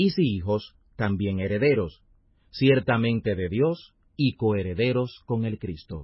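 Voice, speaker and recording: Very slowly, a man speaks with a fairly low pitch and lively intonation. His voice is somewhat breathy. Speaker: Bible audio narrator. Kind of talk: scripture reading aloud, audiobook-style narration. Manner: formal, measured, solemn; steady, even pace with little variation.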